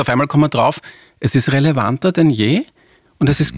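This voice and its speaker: Somewhat breathy and very fast, a man speaks with ordinary pitch variation in a dry, close sound with no echo on a very clean recording with a silent background. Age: 40s. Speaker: advertising agency executive. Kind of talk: interview.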